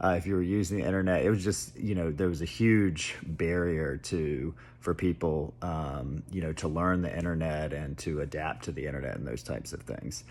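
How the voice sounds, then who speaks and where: Vocal fry runs through speech at a moderate pace with ordinary pitch variation and hardly any pauses. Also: man, very deep, low pitch for a man. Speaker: tech commentator. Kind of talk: casual monologue. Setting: at home. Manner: hesitant, many fillers; soft-spoken.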